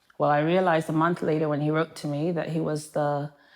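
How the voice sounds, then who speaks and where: Fairly quick, monotone delivery with flat intonation in an English accent. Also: woman. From Manchester, England. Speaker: primary care physician. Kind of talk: interview.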